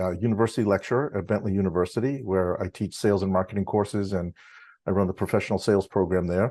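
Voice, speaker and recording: Over a quiet background, a man talks at a fairly quick pace in a normal speaking voice. His pitch is fairly low and his intonation fairly even. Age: 60s. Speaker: university lecturer and drum student. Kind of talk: interview.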